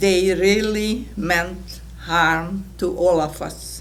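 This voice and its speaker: Audible room echo around a woman speaking. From Hungarian-speaking Czechoslovakia. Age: 80s+. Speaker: Holocaust survivor. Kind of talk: testimony.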